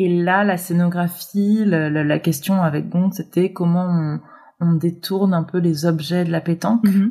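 Somewhat breathy and dark, mellow in tone, the voice moves at a fairly slow pace with very even loudness and fairly even intonation. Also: woman, fairly low pitch for a woman. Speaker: set designer. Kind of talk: interview. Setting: remote recording. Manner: halting, many fillers and repetitions. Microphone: remote recording, sound quality sometimes poorer.

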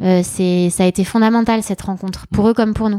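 A woman at a medium pitch with a dark, mellow tone, in a dry, close sound with no echo on a very clean recording with a silent background. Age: 40s. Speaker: entrepreneur. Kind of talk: interview. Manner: casual, hesitant.

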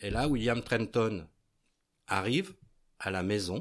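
In a very clean recording with a silent background, a man at medium pitch speaks at a very slow pace. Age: 60s. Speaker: retired baker. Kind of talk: casual interview, retelling a story. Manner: hesitant, with fillers.

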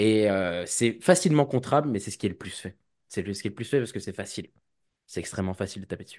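Male speech, ordinary in its pitch variation, over a quiet background. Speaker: cybersecurity student and association president. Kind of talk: casual interview. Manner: hesitant, many fillers.

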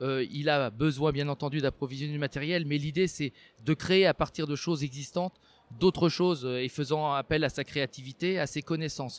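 A man's fairly high, normal speaking voice with fairly even intonation, dry and close with no echo on a very clean recording with a silent background. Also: moderate pace. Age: 50s. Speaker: robotics maker. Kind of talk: interview monologue.

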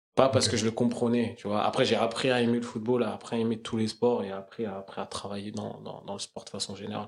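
A man's medium-pitched voice at a fairly quick clip, with fairly even intonation. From Paris suburbs, Essonne (91). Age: 20s. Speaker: sports education project manager. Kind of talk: casual interview. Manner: halting.

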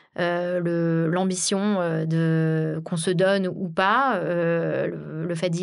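The room echo is audible as a woman speaks. Her pitch is fairly low and her intonation fairly even. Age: 30s. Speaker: sales director. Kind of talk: interview.

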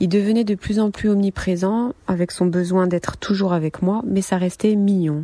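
A woman speaks with fairly even intonation, very even loudness and hardly any pauses, in a dry, close sound with no echo, though noticeable background noise is present. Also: medium pitch for a woman, moderate pace. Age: 30s. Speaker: survivor of domestic violence, nurse. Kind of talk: testimony.

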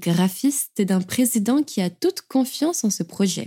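A somewhat breathy woman's voice with a dark, mellow tone and lively intonation, fairly slow, in a dry, close recording with no echo. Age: 20s. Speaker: podcast host and writer. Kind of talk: scripted narration. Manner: warm, gentle.

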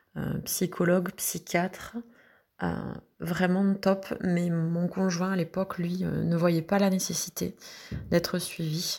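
A woman speaks very slowly in a fairly low, somewhat breathy voice with monotone, flat intonation and long, frequent pauses. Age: 40s. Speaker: mother recovering from anorexia. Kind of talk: testimony.

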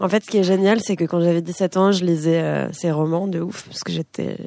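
Dry and close with no echo, the recording captures a woman's fairly low, dark, mellow voice with ordinary pitch variation. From France. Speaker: singer-songwriter. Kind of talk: casual interview. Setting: radio studio with live audience.

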